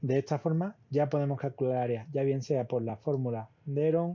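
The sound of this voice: Here a man speaks at a moderate pace. His dark, mellow voice shows ordinary pitch variation.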